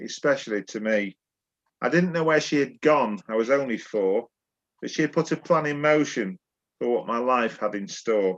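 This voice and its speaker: The intonation is lively. The speaker has a Yorkshire accent. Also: man. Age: 60s. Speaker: poet. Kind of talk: casual chat; poetry reading.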